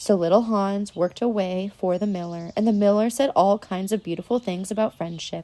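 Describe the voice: This clip is plain reading aloud.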